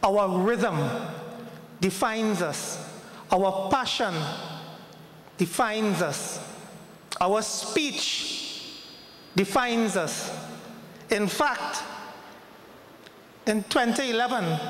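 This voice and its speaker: A man with a Trinidadian accent, high in pitch with ordinary pitch variation, at a very slow pace with long, frequent pauses, plus audible room echo and noticeable background noise. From Trinidad and Tobago. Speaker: ambassador. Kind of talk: formal speech. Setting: hall with audience.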